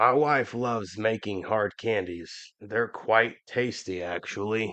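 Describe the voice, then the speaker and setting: A man's raspy, rumbling put-on character voice at medium pitch and a fairly slow pace. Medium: read story. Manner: grumbling.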